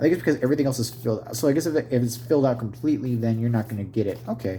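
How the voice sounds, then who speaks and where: The voice has a dark, mellow tone, a somewhat breathy quality, and ordinary pitch variation. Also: man. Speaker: tabletop gaming YouTuber. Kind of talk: unboxing video, casual solo talk. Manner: mumbling; halting, self-correcting.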